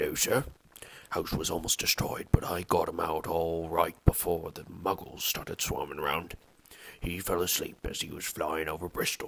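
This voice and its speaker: A man in a put-on character voice, raspy and very deep in pitch, at a moderate pace. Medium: read story. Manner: humble, deferential.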